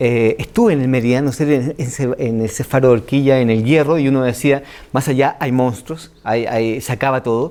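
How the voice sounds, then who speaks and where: A man's medium-pitched voice in a Chilean accent, dark and mellow in tone, fairly quick with hardly any pauses and fairly even intonation. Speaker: writer and screenwriter. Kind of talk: interview answer.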